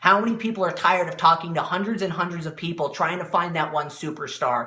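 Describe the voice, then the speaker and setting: Over noticeable background noise, a man with a high voice talks at a very fast pace in an animated tone, with ordinary pitch variation. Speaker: motivational speaker and network marketing coach. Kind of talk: live-stream motivational talk. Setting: live video stream.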